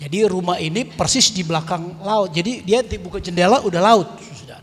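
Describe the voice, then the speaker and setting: A man with a high voice and ordinary pitch variation talks at a moderate pace over noticeable background noise. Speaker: lay preacher and musician. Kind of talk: testimony sharing at prayer meeting. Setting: church prayer meeting hall. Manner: casual, conversational.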